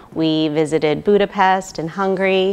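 With an American accent, a woman speaks using ordinary pitch variation. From California, US. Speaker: IVF patient. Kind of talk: testimonial. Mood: happy, grateful. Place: hall.

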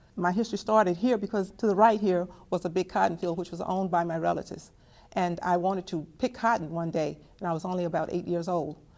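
At a very fast pace, a woman speaks with an American accent. Her pitch is fairly low, with ordinary pitch variation. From Texas. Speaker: family historian; interviewee. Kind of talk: testimony. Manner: halting. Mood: earnest, reflective. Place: home room.

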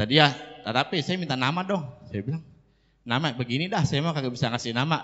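Very fast delivery with ordinary pitch variation over a quiet background. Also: man. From Jakarta. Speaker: preacher. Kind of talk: sermon. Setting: religious gathering. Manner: animated. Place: hall. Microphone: handheld.

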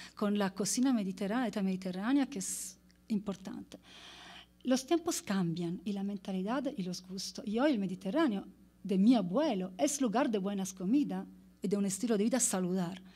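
At a moderate pace, a woman speaks in a somewhat breathy, dark, mellow tone with ordinary pitch variation. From Italy. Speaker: anthropologist; speaker. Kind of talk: conference presentation. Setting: stage with audience. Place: stage. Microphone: podium.

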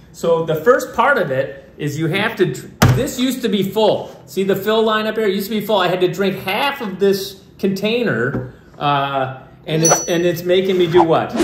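Lively intonation carries the speech at a moderate pace. Noticeable background noise runs underneath. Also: man, high pitch for a man. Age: 50s. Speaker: father of child actors, family vlogger. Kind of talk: casual family video, staged prank. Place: kitchen. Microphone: camera far.

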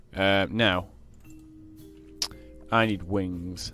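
A man talks at a fairly low pitch with fairly even intonation. The sound is dry with no echo, and faint music plays in the background. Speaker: gamer. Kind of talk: casual gameplay commentary. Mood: playful, swearing, laughing.

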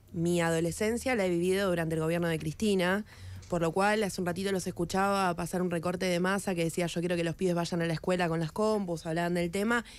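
A woman with a fairly low pitch talks at a very fast pace, her loudness very even and her intonation fairly even, in a dry recording with no echo. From Argentina. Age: 20s. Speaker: politician. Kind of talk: radio interview. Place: studio. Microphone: studio mic.

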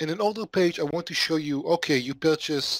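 A man with lively intonation, dry sound with no echo, quiet background. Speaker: remote interview guest. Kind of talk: interview answer. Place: home room. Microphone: headset.

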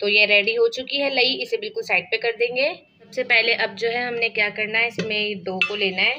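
With a fairly high pitch, a woman speaks in a bright, sharp tone and fairly even intonation. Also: moderate pace.

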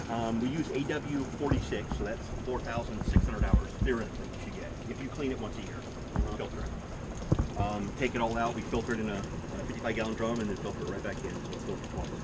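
There is loud background noise. Over it, a man speaks at a fairly quick pace. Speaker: equipment seller explaining maintenance. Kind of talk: tutorial. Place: street. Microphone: camera far.

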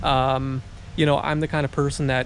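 Light background noise is present in a dry recording with no echo. A man speaks in a monotone, flat intonation. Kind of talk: casual vlog chat. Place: street. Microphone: phone near.

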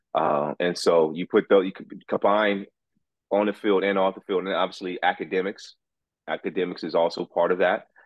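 A man with an American accent, very deep and low in pitch, at a moderate pace with fairly even intonation, in a dry sound with no echo and a quiet background. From Los Angeles, US. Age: 40s. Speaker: youth sports coach and former athlete. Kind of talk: interview. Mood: reflective, warm. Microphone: video call.

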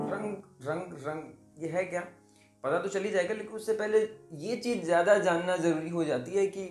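A man's high-pitched voice at a fairly slow pace, with audible room echo and faint music in the background. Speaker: storyteller. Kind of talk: storytelling. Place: home room. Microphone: phone near.

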